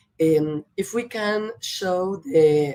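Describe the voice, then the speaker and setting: Her pitch variation stays ordinary. The woman has a Spanish accent. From Argentina, Buenos Aires. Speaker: professor. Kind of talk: lecture. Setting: video call.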